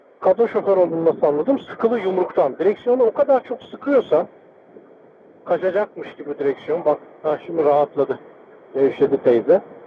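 This man talks at a fairly quick pace in a high pitch with very wide pitch swings. The sound is dry with no echo, with noticeable background noise. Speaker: motorcycle rider. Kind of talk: live riding commentary from inside helmet. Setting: helmet intercom recording while riding. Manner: casual. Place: motorbike. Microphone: helmet.

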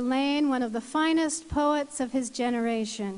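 A woman speaks at a high pitch and a fairly slow pace. Her pitch varies in an ordinary way. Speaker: ceremony presenter. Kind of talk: formal citation reading. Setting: university convocation ceremony. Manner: formal. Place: hall. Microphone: podium.

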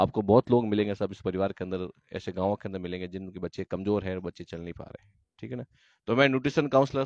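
A man speaks in a normal speaking voice, fairly low-pitched with ordinary pitch variation, at a fairly quick pace, his loudness swinging widely, in a dry sound with no echo against a quiet background. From Rajasthan, Jodhpur district; Rajasthan, India. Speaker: nutrition counselor. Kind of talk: promotional video talk. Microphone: handheld.

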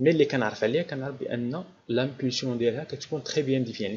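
Amid light background noise, a man with a Moroccan accent speaks at a moderate pace in a somewhat breathy voice. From Morocco. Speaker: physics teacher. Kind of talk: lecture. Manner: halting. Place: home room. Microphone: studio mic.

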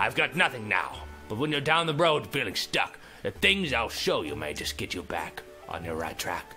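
A man speaks at a moderate pace in a put-on character voice, with clear music playing in the background. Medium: role play. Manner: silly, folksy.

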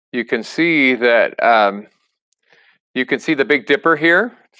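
This man's tone is bright and sharp, at a fairly slow pace. Behind him the background stays quiet. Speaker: lecturer. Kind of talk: lecture. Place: classroom. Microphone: lapel.

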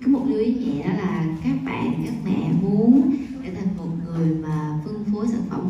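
Ordinary pitch variation in a woman's speech, with light background noise and audible room echo. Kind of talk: press conference answer. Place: hall. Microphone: pa.

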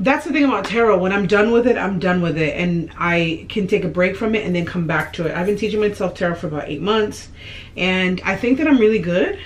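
A woman talks fairly quickly, and her intonation is lively. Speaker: beauty vlogger. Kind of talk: casual vlog chat. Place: home room. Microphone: camera far.

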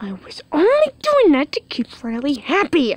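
A high-pitched, put-on character voice. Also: moderate pace. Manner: angry, defensive.

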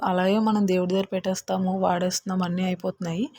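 Dry, close sound with no echo around a woman's speech at medium pitch. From Andhra Pradesh. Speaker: vlogger. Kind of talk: scripted narration. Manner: halting.

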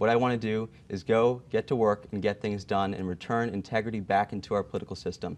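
A man's fairly low voice at a very fast pace, with fairly even intonation and hardly any pauses. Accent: Pennsylvania. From Pennsylvania, Allentown area; Pennsylvania. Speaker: political candidate; candidate. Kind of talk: political debate; interview answer. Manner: halting, many fillers. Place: studio. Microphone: lapel.

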